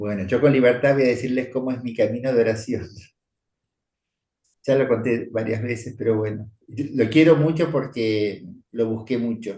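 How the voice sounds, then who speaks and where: A somewhat breathy man at a medium pitch, dark and mellow in tone, with fairly even intonation and a moderate pace. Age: 70s. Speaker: priest. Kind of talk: spiritual teaching talk. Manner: conversational.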